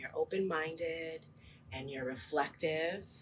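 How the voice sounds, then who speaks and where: A woman speaks with a very deep, low pitch. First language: Spanish. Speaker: teacher. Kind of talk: interview. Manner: hesitant, with frequent ums.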